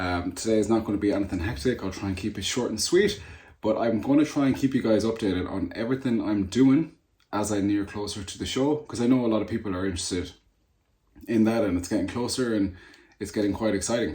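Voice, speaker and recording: A fairly low male voice, somewhat breathy and very fast, with ordinary pitch variation, on a very clean recording with a silent background. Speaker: natural bodybuilder and personal trainer. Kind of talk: casual vlog chat. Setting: sitting at desk.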